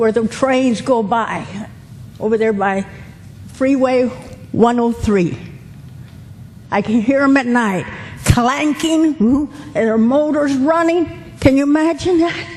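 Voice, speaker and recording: Speaking with an American accent at a high pitch, a woman uses lively intonation at a very slow pace with long, frequent pauses, over noticeable background noise. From Los Angeles area, US. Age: 70s. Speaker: local resident, public commenter. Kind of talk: public comment at hearing. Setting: public meeting.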